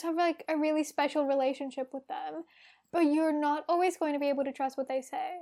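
An Australian-accented woman with a high voice, fairly even intonation and a fairly quick pace, on a very clean recording with a silent background. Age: 20s. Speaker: podcast co-host. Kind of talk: casual chat.

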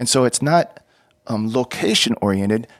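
Here is a man with an unremarkable speaking voice and an American accent, medium in pitch with ordinary pitch variation. The recording is very clean, with a silent background. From Texas. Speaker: former missionary. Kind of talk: interview testimony.

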